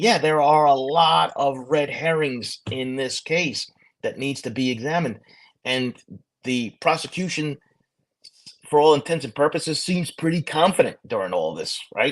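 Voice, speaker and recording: This man speaks with a Brooklyn accent. His pitch is fairly high. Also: ordinary pitch variation, moderate pace. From New York, Brooklyn. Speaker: retired police officer and true crime host. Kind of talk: casual podcast discussion. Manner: halting, repetitive.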